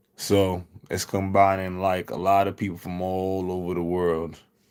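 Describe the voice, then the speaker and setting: A man speaks in a calm tone at a very deep, low pitch. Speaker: streamer. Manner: calm, laid-back, low-energy tone.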